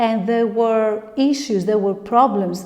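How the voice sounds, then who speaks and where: In a room with audible echo, a woman with a non-native accent speaks at a fairly high pitch with ordinary pitch variation. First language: not English. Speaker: tarot reader. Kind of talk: tarot reading monologue. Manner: halting.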